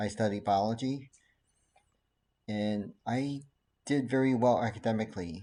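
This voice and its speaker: With a Chinese accent and a dark, mellow tone, a man talks at a moderate pace broken by long, frequent pauses. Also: medium pitch for a man, ordinary pitch variation. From Taiwan, then California from age 13. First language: Mandarin Chinese. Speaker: doctor, ADHD specialist. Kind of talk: casual talk to camera.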